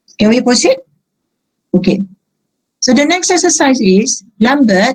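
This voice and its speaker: A somewhat breathy voice at a moderate pace. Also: woman. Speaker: accounting lecturer. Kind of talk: lecture. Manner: halting.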